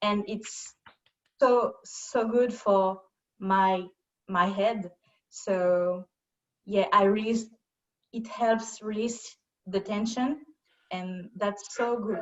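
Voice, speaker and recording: A woman with a French accent speaks at a very slow pace and a medium pitch, with fairly even intonation and long, frequent pauses. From France. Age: 30s. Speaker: yoga student. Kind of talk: casual chat. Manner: halting.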